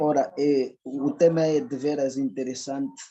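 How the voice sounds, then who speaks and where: A man speaks at a very slow pace. His voice sits fairly high. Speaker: audience member asking a question. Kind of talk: question at a public lecture. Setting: lecture hall with microphone. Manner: formal.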